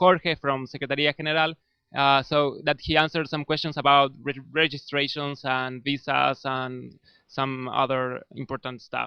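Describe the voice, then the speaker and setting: A man speaks with a Spanish accent, bright and sharp in tone, with fairly even intonation. The sound is dry and close with no echo, over a quiet background. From Argentina. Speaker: volunteer community manager hosting live stream. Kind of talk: live stream interview. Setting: office with people working, live stream.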